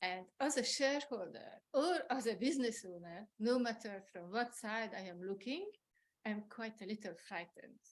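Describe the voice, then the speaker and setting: Speaking at a moderate pace, a woman uses a fairly high voice with lively intonation and big swings in loudness. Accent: French. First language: French. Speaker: resident speaking at public comment. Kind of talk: public comment at board meeting.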